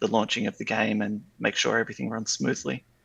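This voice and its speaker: A man is speaking. He has an Australian accent. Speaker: game server developer. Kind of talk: podcast interview. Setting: online call.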